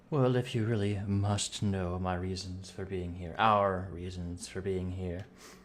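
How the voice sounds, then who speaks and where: Putting on a character voice, a man talks fairly slowly at a very deep, low pitch with hardly any pauses, over clear background noise. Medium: actual play. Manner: formal, courteous.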